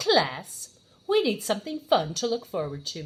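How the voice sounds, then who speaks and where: A woman's put-on character voice at medium pitch and moderate pace, full of very wide pitch swings. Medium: read story.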